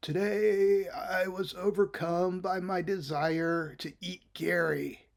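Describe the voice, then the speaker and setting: In a put-on character voice, a man speaks at a very slow pace in a high pitch with hardly any pauses. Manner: dull, deadpan.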